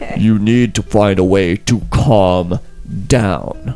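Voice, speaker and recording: Against clear music in the background, a man puts on a gravelly character voice with a fairly low pitch at a fairly slow pace. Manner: calming, trying to settle someone.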